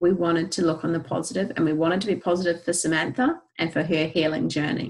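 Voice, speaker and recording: A woman speaks with a New Zealand accent. Her pace is fairly quick. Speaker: essential oils educator. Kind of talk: presentation. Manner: animated.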